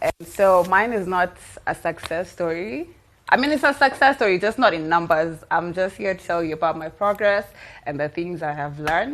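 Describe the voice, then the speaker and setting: This woman's voice is shaky and fairly low in pitch. She talks at a moderate pace. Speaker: program graduate. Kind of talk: testimony. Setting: stage with audience. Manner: stammering.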